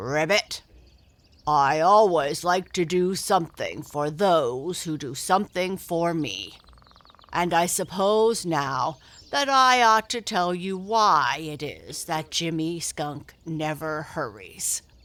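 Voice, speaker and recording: In a put-on character voice, the speaker uses a middle pitch that sounds croaky and gruff, with lively intonation. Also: fairly slow pace. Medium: read story. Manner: gruff, grunting, croaks "ribbit".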